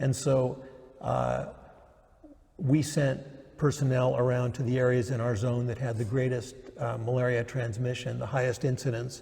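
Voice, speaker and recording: Noticeable background noise sits behind a man speaking at a moderate pace. His medium-pitched voice is monotone, with flat intonation. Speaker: retired judge, former Peace Corps volunteer. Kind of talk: oral history interview answer. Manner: hesitant, many fillers.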